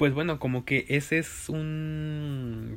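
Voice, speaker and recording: With a Mexican accent, a man speaks using fairly even intonation. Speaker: podcast co-host. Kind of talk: casual chat.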